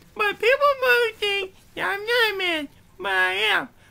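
A cartoonish character voice moves at a fairly slow pace with ordinary pitch variation. Its tone is bright and sharp, edged with vocal fry.

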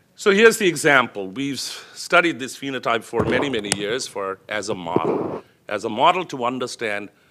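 Over noticeable background noise, a man's pitch swings very widely. His pace is moderate, with hardly any pauses. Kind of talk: lecture.

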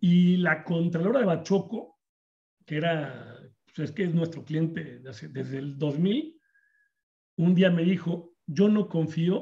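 The voice, in a Mexican accent, has a dark, mellow tone and a fairly slow pace. Its loudness swings widely against a quiet background. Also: man. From Mexico. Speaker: insurance agents association organizer. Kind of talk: webinar moderation. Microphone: video call.

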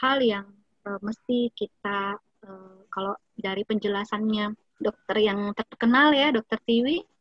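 In a plain, everyday voice, a woman speaks at a fairly high pitch and a fairly slow pace with fairly even intonation, the sound dry and close with no echo. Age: 30s. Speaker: nutritionist giving an Islamic study talk. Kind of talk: lecture; Q&A answers.

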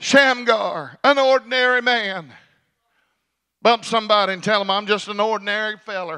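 A man's high, bright, sharp voice, raised and projected, at a moderate pace with ordinary pitch variation over a quiet background. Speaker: pastor. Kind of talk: sermon. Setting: church service. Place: church. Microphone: handheld.

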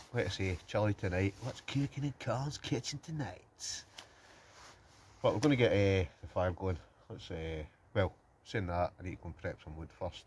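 Over light background noise, a man with a fairly low, somewhat breathy voice speaks with lively intonation and big swings in loudness. He leaves long, frequent pauses. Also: moderate pace. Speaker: outdoor vlogger. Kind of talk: casual vlog chat. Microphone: phone near.

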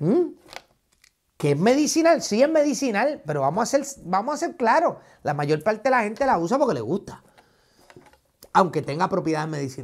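Animated and high-pitched, a man speaks at a moderate pace with very wide pitch swings and long, frequent pauses. The background is quiet. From Puerto Rico. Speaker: YouTuber, commentator. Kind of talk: reaction commentary video. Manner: animated, combative. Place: studio. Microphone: lapel.

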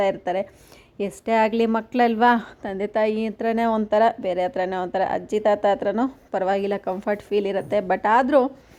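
Her dark, mellow tone sits at a medium pitch for a woman, with fairly even intonation. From Karnataka, India. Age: 20s. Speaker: vlogger; village vlogger. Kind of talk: vlog narration. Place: farm. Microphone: phone near.

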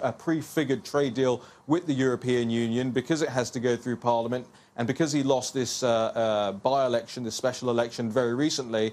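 A man with a London accent and fairly even intonation. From England, West London. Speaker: political commentator. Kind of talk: TV interview. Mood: assertive, opinionated. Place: studio. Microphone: lapel.

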